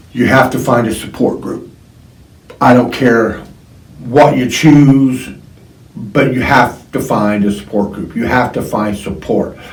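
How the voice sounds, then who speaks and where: A medium-pitched man at a fairly slow pace, with long, frequent pauses, ordinary pitch variation and audible room echo. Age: 60s. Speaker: podcast host sharing addiction recovery. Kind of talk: personal testimony monologue. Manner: halting, many fillers and repetitions; earnest, pleading.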